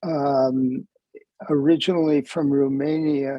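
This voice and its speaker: At a very slow pace, the speaker talks with a General American accent. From US West Coast, Los Angeles. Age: 80s+. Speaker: rabbi and program co-host. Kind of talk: discussion remarks at an online talk. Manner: halting, many fillers.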